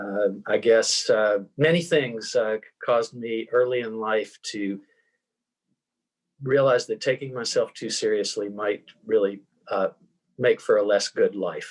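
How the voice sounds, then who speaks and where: A very slow pace in an American accent, with long, frequent pauses. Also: man. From US South, Tennessee. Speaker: venture fund co-founder, author. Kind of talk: interview.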